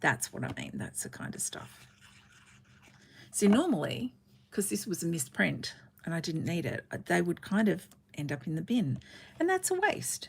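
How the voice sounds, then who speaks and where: A woman with an Australian accent speaks at a moderate pace. She takes long, frequent pauses. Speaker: card-making crafter. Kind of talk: livestream craft tutorial. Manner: casual, chatty.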